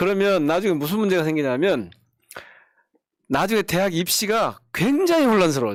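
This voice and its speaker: A man with a high pitch, lively intonation and a moderate pace, in a Jeolla accent. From South Jeolla, Korea (Gwangju area). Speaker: politician, lawmaker. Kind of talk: political talk show chat.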